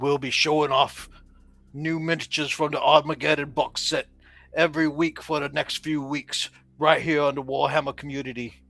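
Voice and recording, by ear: Using a put-on character voice, a man sounds gruff with a fairly high pitch at a moderate pace.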